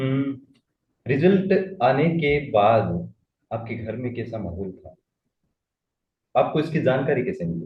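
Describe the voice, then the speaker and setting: A man speaks at a medium pitch with vocal fry and very wide pitch swings. His loudness swings widely, and his pauses are long and frequent. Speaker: interviewer. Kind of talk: interview.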